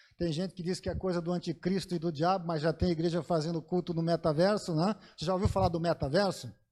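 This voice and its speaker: A man with a high pitch and a dark, mellow tone speaks very fast in a monotone, flat way with hardly any pauses, on a very clean recording with a silent background. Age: 50s. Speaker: pastor. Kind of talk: sermon.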